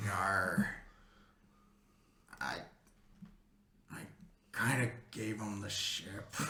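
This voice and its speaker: Putting on a raspy character voice, a man speaks at a fairly low pitch and a very slow pace, leaving long, frequent pauses. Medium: actual play.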